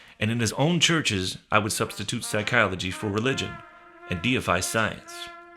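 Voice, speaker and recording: Over music in the background, a man speaks with a fairly low pitch. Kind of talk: spoken word reading of a radio essay. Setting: studio.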